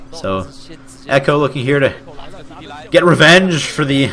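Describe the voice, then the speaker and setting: A man's voice over noticeable background noise. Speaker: amateur esports caster. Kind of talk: live commentary. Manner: fast; stumbling over words.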